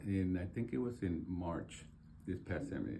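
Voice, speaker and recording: A man speaks with an American accent and a dark, mellow tone. The room echo is audible. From Texas, San Antonio. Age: 70s. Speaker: board candidate. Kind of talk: interview. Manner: halting, many fillers.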